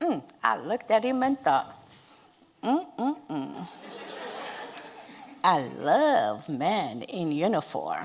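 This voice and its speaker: Speaking at a very slow pace, a woman with a non-native accent lets her pitch swing very widely. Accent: foreign. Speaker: storyteller. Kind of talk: speech to an audience.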